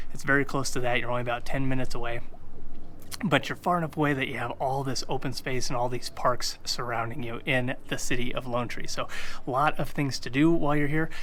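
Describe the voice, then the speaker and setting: A man speaks in a bright, sharp, energetic tone. The room echo is audible. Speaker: realtor. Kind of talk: video tour / real estate presentation. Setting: outdoors on location. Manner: energetic, casual.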